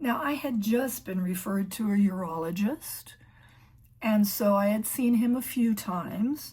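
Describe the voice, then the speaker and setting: A somewhat breathy woman's voice, fairly high in pitch with ordinary pitch variation, at a fairly slow pace. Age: 60s. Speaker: emergency room clerical worker. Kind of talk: casual talk to camera.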